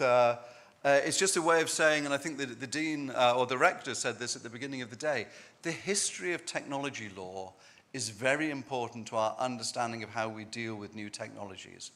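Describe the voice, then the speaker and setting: A man with an English accent and a medium-pitched, bright, sharp voice speaks at a fairly quick pace with big swings in loudness. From England. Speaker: law professor. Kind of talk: conference talk.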